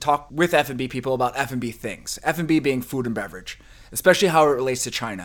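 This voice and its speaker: A man's medium-pitched voice at a very fast pace, with a slight New Jersey accent and big swings in loudness. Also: ordinary pitch variation. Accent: New Jersey-tinged American. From New Jersey, then New Mexico and California. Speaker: podcast co-host, food and beverage scene figure. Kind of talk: casual interview chat.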